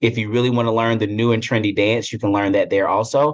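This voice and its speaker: Over a quiet background, a man with a slight Southern US accent speaks at medium pitch and a very fast pace. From upstate South Carolina, Greenville. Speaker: corporate human resources executive. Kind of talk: interview conversation.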